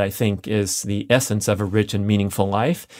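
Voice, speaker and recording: A man with a plain, everyday voice and fairly low pitch talks at a moderate pace on a very clean recording with a silent background. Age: 50s. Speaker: podcast host. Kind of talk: solo monologue.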